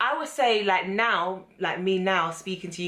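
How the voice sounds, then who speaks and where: With a London accent, a woman speaks at a fairly slow pace in a medium pitch, her tone bright and sharp and her pitch varying in an ordinary way. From London, England, Ghanaian family. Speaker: beauty and lifestyle vlogger. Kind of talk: casual chat.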